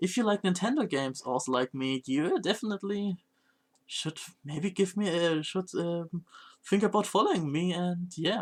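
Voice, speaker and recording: The speech goes at a moderate pace. The recording is very clean, with a silent background. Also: man, dry, close sound with no echo. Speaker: variety streamer. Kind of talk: casual live-stream chat. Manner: halting, self-correcting.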